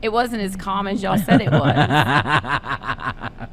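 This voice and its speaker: Over noticeable background noise, a woman with a Kentucky accent speaks very slowly at a medium pitch, her voice making very wide pitch swings. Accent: Kentucky Southern. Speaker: podcast co-host. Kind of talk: casual chat.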